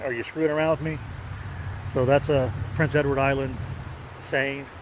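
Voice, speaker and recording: A man with an American accent, fairly high pitch, ordinary pitch variation and a moderate pace. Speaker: pipe-smoking video blogger. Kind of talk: casual vlog monologue. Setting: outdoors on a park bike trail. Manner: halting, with many fillers and repeats.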